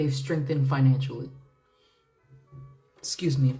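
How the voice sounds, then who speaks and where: Music plays in the background of a room with audible echo as a woman with an American accent speaks at a very deep, low pitch. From United States. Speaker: tarot reader. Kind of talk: tarot reading livestream. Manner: casual, hesitant with many fillers and repeats.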